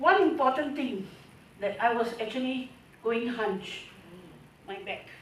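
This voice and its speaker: With audible room echo, a woman speaks at a high pitch and a fairly slow pace, her intonation lively, her loudness swinging widely, and her pauses long and frequent. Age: 60s. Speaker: customer giving testimonial. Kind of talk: testimony.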